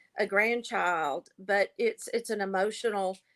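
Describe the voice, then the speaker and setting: A woman with an ordinary speaking voice talks at a fairly slow pace in a medium pitch with ordinary pitch variation. The sound is dry and close with no echo, and the recording is very clean against a silent background. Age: 60s. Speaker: grandmother raising grandchildren, reality show contestant. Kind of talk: casual interview.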